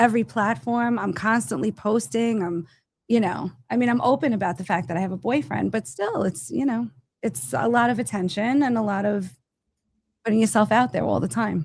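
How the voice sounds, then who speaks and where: The voice carries vocal fry and swings very widely in pitch. The delivery moves at a fairly quick pace. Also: woman, medium pitch for a woman. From Italian-American family. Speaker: stand-up comedian and medium. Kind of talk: casual chat.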